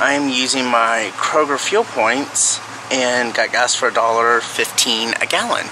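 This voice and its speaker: A man's voice over noticeable background noise. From Texas. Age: 30s. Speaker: lifestyle vlogger. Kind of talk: casual vlog talk to camera. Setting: in a car.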